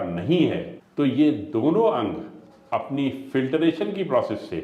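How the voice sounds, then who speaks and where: In a room with audible echo and noticeable background noise, a man with fairly high pitch makes very wide pitch swings. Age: 60s. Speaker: ayurvedic doctor. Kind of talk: health interview explanation.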